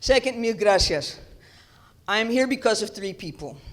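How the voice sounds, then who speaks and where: A woman talks with a New York accent and ordinary pitch variation. Audible room echo surrounds her voice. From New York City, the Bronx. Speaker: theology professor. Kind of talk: keynote lecture.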